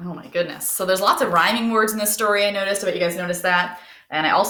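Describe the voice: This plain reading aloud keeps a fairly even intonation throughout.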